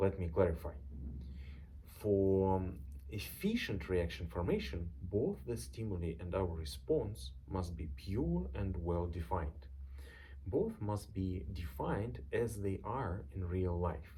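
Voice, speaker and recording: Audible room echo carries a man's very deep, low voice with vocal fry, a dark, mellow tone, lively intonation and a fairly slow pace. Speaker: software tool creator. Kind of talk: reading a script aloud.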